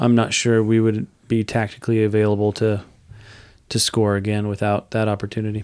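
In a very clean recording with a silent background, a man speaks at a medium pitch and a moderate pace. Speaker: podcast co-host. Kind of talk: casual chat about a soccer match.

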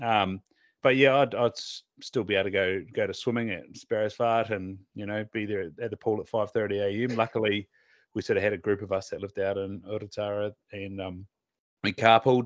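A man with a Southland New Zealand accent, fairly low-pitched and monotone with flat intonation, at a fairly quick pace, in a dry, close sound with no echo against a quiet background. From southern New Zealand. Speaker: optometrist and podcast host. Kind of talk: casual chat.

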